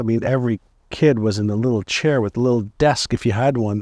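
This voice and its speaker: A man uses a normal speaking voice at a medium pitch and moderate pace, with ordinary pitch variation, in a dry, close sound with no echo over a quiet background. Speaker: entrepreneur and mindset author. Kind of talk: interview. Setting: in person at guest's home.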